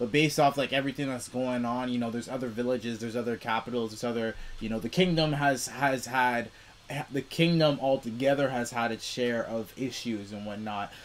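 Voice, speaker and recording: There is ordinary pitch variation as a man talks at a moderate pace. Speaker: anime reaction reviewer. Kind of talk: casual review commentary. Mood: relaxed, amused. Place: home room. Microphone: webcam.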